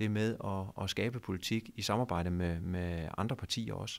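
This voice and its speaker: The man talks at a moderate pace, and the background is quiet. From Denmark, Funen (Nyborg); Denmark. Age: 40s. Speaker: mayor. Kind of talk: interview. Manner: halting. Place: office. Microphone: handheld.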